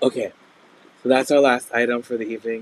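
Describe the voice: A man talks at a fairly quick pace. His pitch shows little movement. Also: medium pitch for a man.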